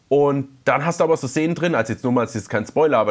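His speech moves at a fairly quick clip, with pitch varying in an ordinary way. A man with a normal speaking voice is talking. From Palatinate, Germany. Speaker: podcast co-host. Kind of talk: casual chat.

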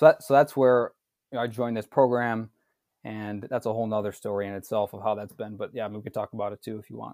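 The speech comes at a very fast pace with fairly even intonation. The recording is very clean with a silent background, dry and close with no echo. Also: man, fairly low pitch for a man. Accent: American. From Wisconsin, suburb of Milwaukee. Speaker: physician assistant. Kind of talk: casual interview. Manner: halting.

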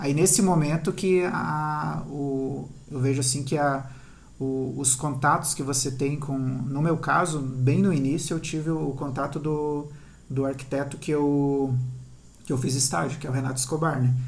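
Somewhat breathy and fairly high-pitched, a man speaks fairly slowly amid audible room echo. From southern Brazil (Paraná / Santa Catarina). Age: 30s. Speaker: architect. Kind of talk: interview. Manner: halting.

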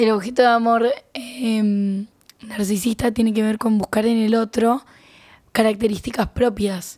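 A woman's somewhat breathy, fairly high voice with monotone, flat intonation. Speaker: podcast co-host, psychology student. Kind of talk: casual chat.

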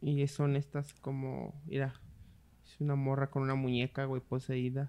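In a Mexican accent, a man with a fairly high pitch and a dark, mellow tone speaks at a moderate pace. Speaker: podcast co-host. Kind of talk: casual chat.

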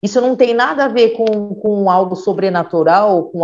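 A woman's dark, mellow tone with lively intonation. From São Bernardo do Campo, São Paulo, Brazil. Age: 40s. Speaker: educator and health administration worker. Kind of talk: podcast conversation. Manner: halting with repetitions.

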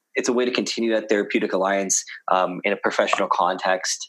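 A man with a Canadian accent, talking at a very fast pace. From Canada, Toronto. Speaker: physiotherapist. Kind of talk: casual interview. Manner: halting, many fillers.

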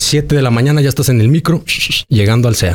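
A man's normal speaking voice, fairly quick, with lively intonation. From Mexico, Aguascalientes. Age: 40s. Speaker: actor and mayoral candidate. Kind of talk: interview. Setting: restaurant.

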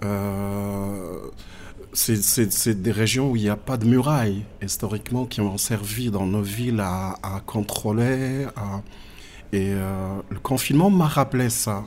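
Ordinary pitch variation at a very slow pace. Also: man, fairly low pitch for a man. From southern Morocco (Agadir, Tiznit). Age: 40s. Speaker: visual artist. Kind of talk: interview. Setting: in person. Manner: halting.

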